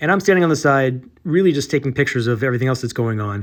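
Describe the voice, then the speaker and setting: A man's fairly high voice over a very clean recording and a silent background. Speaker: artist vlogger. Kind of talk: casual vlog storytelling. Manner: fast; hesitant with many fillers.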